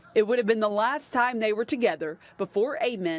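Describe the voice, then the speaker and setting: A woman has a plain, everyday voice. Her pitch is fairly high. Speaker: sports reporter. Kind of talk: TV news package narration.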